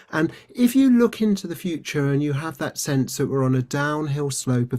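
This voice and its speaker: Lively intonation from a man with a British accent, on a very clean recording with a silent background. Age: 60s. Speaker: resilience trainer and former doctor. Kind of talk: interview conversation.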